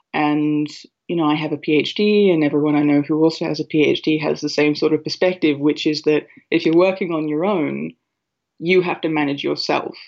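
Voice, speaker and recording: With an Australian accent, a woman speaks at a moderate pace in a very deep, low pitch with monotone, flat intonation. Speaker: writer and librettist. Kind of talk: interview. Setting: phone call.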